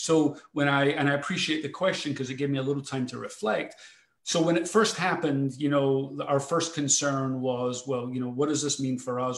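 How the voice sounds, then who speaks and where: This man talks at a fairly quick pace with hardly any pauses, using a fairly high pitch and fairly even intonation. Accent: Scottish. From Scotland, Glasgow. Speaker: foundation president and CEO. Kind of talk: panel discussion. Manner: halting, many fillers and repetitions.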